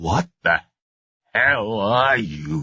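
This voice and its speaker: A man puts on a raspy character voice at a fairly low pitch. His pitch swings very widely. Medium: read story. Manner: tight, dry humor.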